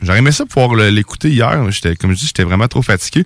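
In a Quebec accent, a man speaks with lively intonation. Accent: Québécois French. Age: 30s. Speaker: radio host. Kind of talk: casual chat. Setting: studio.

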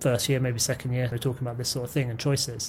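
Somewhat breathy, a man speaks in a dark, mellow tone with a British accent. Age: 20s. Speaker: martial arts practitioner and stunt performer. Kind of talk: casual chat.

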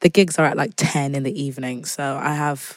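In a very clean recording with a silent background, a woman with a British accent speaks in a very deep, low voice. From England, Zimbabwean family. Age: 20s. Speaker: singer-songwriter. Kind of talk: casual interview chat.

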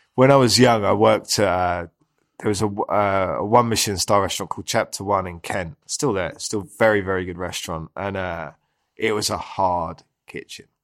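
In a London accent, a man with a fairly low pitch speaks at a moderate pace on a very clean recording with a silent background. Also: ordinary pitch variation. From Southeast London. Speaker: chef. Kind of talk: casual chat.

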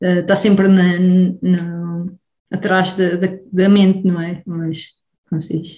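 A woman with a medium pitch and a dark, mellow, somewhat breathy tone speaks at a very slow pace in a monotone, flat intonation with long, frequent pauses. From Portugal, Beira Baixa. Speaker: immunologist researcher. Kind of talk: interview. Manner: halting.

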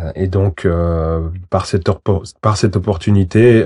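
A man with a very deep, low pitch and a dark, mellow tone against a quiet background. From Switzerland, Valais. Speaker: lawyer, former professional footballer. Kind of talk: interview. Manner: halting, many repetitions.

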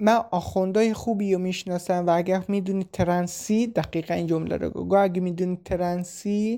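A woman with a medium pitch and a dark, mellow tone talks at a moderate pace with hardly any pauses. Her intonation is monotone and flat, and the recording is very clean with a silent background. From Iran, Shiraz region. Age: 20s. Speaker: refugee. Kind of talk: personal testimony.

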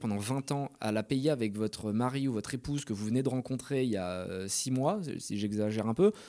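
A man's dark, mellow voice with lively intonation. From France, Bordeaux area (Pessac). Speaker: entrepreneur. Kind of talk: interview.

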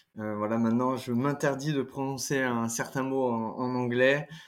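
With monotone, flat intonation at a medium pitch, a man talks in a very clean recording with a silent background. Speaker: former exchange student. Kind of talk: interview conversation. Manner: hesitant, many fillers.

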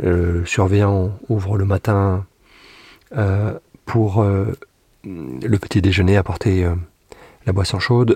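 A man with a fairly low pitch speaks very slowly, somewhat breathy, in a dark, mellow tone with fairly even intonation. Long, frequent pauses break up his speech, and the sound is dry and close with no echo. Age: 50s. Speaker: former prison inmate. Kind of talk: testimony. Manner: halting.

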